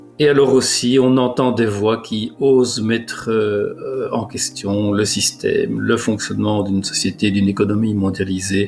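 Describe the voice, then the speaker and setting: A man's fairly low voice with ordinary pitch variation, a fairly slow pace and hardly any pauses, over music in the background. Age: 60s. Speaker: director of a refugee aid association. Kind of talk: video testimony. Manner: hesitant, many filler sounds.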